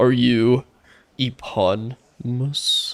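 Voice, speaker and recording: A man speaks in a put-on character voice. His pitch sits in the medium range. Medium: game stream. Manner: sarcastic, overacted.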